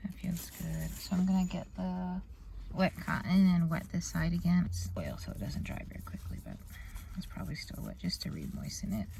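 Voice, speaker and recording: There is noticeable background noise and audible room echo. Through it, a woman speaks at a moderate pace. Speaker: beauty vlogger. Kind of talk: casual vlog tutorial. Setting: in a car.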